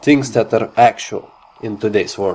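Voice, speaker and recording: A man with a non-native accent, medium pitch and ordinary pitch variation, music in the background. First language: not English. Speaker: gamer. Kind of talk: game impressions talk. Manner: hesitant, many fillers.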